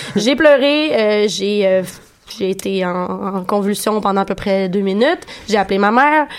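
Over noticeable background noise, a woman at a medium pitch talks at a fairly slow pace with ordinary pitch variation. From Quebec City. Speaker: radio columnist. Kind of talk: casual radio chat. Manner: halting, many repetitions.

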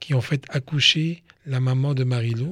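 A man talks at a medium pitch with a somewhat breathy voice and fairly even intonation. The recording is very clean, with a silent background. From Côte d'Ivoire, of Lebanese parents. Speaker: police chief. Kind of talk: interview for children.

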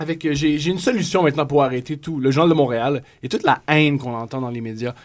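A man with a plain, everyday voice, a fairly high pitch, ordinary pitch variation and a fairly quick pace. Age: 20s. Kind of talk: casual chat.

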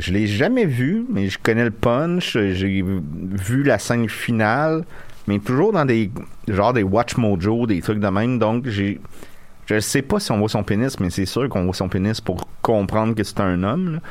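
A man talks at a fairly slow pace in a fairly low voice. He has an ordinary speaking voice with ordinary pitch variation. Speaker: podcast co-host. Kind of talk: casual chat. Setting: studio.

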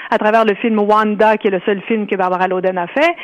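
A woman's normal speaking voice at a fairly high pitch, with ordinary pitch variation and a fairly quick pace. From Ontario, Canada. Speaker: author. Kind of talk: interview.

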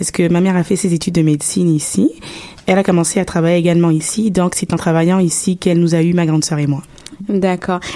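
Over noticeable background noise, a woman speaks very fast in a fairly low, monotone, flat voice with very even loudness. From Gabon. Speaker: university student. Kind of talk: radio interview. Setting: radio studio.

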